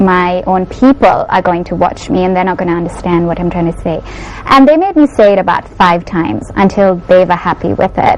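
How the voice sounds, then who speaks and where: A woman with a Sri Lankan accent talks at a fairly quick pace with ordinary pitch variation over noticeable background noise. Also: medium pitch for a woman. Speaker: beauty pageant winner. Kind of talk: TV interview. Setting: TV studio.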